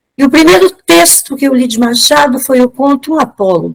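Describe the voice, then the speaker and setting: A woman talks in a high pitch and keeps a moderate pace. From Brazil, Juiz de Fora, Minas Gerais. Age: 70s. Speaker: literature lecturer. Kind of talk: lecture.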